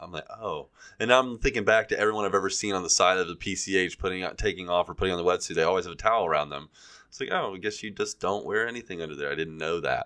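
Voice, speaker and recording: Over a quiet background, a man with an American accent talks very fast in a very deep, low pitch, his tone bright and sharp and his pitch varying an ordinary amount. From US Gulf Coast. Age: 40s. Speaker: podcast co-host. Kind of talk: casual chat.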